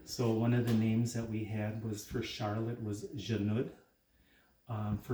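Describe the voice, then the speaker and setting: Somewhat breathy and dark and mellow in tone, a man speaks at medium pitch in an American accent. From northern Wisconsin, Ojibwe reservation community. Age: 60s. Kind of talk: casual talk while cooking, cultural teaching. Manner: halting, many fillers.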